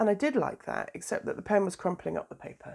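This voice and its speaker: A woman is speaking. She has a British accent. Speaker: doula and planner vlogger. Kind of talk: casual vlog tutorial. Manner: hesitant, many fillers.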